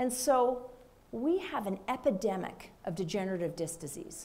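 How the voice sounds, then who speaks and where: Delivered at a moderate pace with lively intonation, the speech comes in a Minnesota accent. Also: woman. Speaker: physician. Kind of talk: panel discussion.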